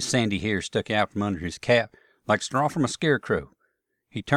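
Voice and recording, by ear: A natural voice reads aloud while the background stays quiet.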